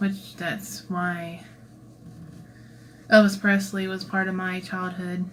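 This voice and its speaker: In a room with audible echo, a woman speaks at a very slow pace and medium pitch, somewhat breathy and monotone, with long, frequent pauses and big swings in loudness. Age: 30s. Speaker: cosplayer and channel creator. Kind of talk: livestream Q&A. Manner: casual, chatty.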